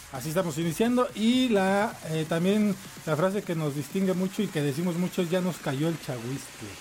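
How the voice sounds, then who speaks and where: Over noticeable background noise, a man with a Mexico City accent talks at a moderate pace, his high pitch rising and falling in lively intonation. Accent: Mexico City Spanish (chilango). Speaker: radio host. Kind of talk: casual chat. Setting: studio. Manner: animated.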